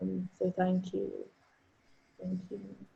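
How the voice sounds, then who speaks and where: A woman's fairly low, somewhat breathy voice with monotone, flat intonation. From Zambia, lived in several countries. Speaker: writer and series host. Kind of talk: roundtable discussion. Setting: video call.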